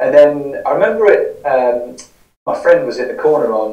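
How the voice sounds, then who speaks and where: Against a quiet background, a man's voice carries audible room echo. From southern England (Newbury, Berkshire); southern England. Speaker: podcaster and recovering gambling addict; interview guest. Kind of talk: interview, personal story. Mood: reflective, candid. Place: home room.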